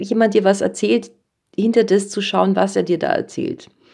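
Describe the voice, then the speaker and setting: This woman has a medium pitch and a dark, mellow tone with vocal fry. She talks at a moderate pace. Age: 50s. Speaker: children's and young adult author. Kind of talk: casual interview.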